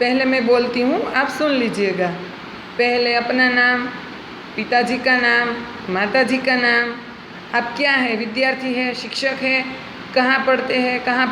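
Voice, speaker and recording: A woman with a Gujarati accent speaks, and audible room echo can be heard. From Gujarat, India. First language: Gujarati (speaking Hindi). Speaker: school teacher. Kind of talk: lesson for schoolchildren. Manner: slow, explanatory.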